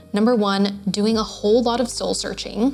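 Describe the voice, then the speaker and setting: A woman's fairly even intonation holds at a moderate speed while noticeable background noise runs underneath. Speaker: online business owner. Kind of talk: casual talk to camera. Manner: uptalk, voice going up.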